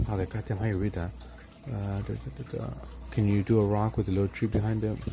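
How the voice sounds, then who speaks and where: A man with an American accent mumbles at a very fast pace and a fairly low pitch, his pitch swinging very widely between long, frequent pauses over noticeable background noise. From Los Angeles, US. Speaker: art livestreamer. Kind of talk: casual chat while painting on livestream. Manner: mumbling, slurred words.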